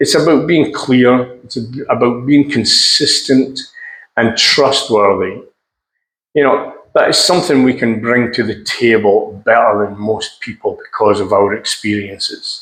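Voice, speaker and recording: A man speaks in a normal speaking voice at a medium pitch, with ordinary pitch variation and a fairly slow pace. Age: 60s. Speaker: seafarer. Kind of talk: casual talk to camera.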